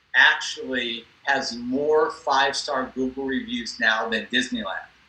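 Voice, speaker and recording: Speaking at a fairly slow pace with an American accent, a man with a fairly high pitch makes very wide pitch swings against noticeable background noise. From US West Coast (Los Angeles). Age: 60s. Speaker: cosmetic dentist. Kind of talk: interview.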